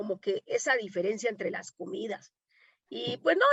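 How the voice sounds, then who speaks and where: A woman with a Colombian accent, very wide pitch swings, a moderate pace and a dry, close sound with no echo. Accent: Colombian, still noticeable. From Colombia, Medellín. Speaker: domestic worker and activist. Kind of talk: panel conversation. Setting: online conference.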